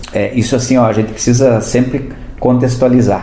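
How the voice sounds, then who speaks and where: Noticeable background noise and audible room echo surround talk delivered at a medium speed. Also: man. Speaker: historian and teacher, podcast guest. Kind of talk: interview, explaining local history. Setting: podcast studio.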